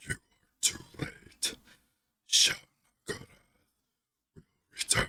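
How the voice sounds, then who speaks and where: In a put-on character voice, the speaker whispers gutturally at a fairly slow pace, with long, frequent pauses. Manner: ominous.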